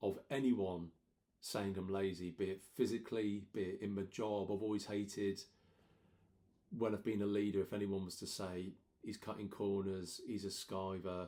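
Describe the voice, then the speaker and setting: A man with a dark, mellow tone speaks at a fairly low pitch. His intonation is monotone and flat, at a moderate pace. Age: 40s. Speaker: vlogger and amateur runner. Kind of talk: casual vlog monologue. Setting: home.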